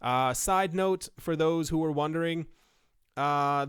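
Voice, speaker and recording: On a very clean recording with a silent background, a man with a fairly high pitch talks at a very slow pace. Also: fairly even intonation. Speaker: crypto video creator. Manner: hesitant, frequent filler words.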